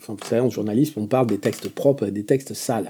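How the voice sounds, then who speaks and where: In a dark, mellow tone, a man speaks at a very fast pace. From Béarn, southwest France. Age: 60s. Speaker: journalist and AI specialist. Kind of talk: radio interview. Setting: studio in total darkness.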